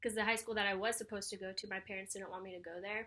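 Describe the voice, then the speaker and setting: A woman with a fairly high pitch speaks in a bright, sharp tone with ordinary pitch variation. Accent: American. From Southern California, Orange County (Santa Ana). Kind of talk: interview testimony.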